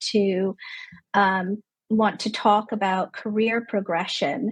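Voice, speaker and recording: At a very slow pace, a woman with a Canadian accent speaks in a somewhat breathy, fairly high voice with fairly even intonation. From Canada. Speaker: clinical psychologist. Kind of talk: interview conversation.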